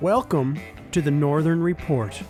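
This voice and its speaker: A man speaks with music playing in the background. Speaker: podcast host. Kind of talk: podcast intro.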